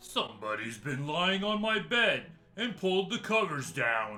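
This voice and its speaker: A man speaks at a moderate pace in a put-on character voice with a high pitch and very wide pitch swings, as faint music plays in the background. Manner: growling.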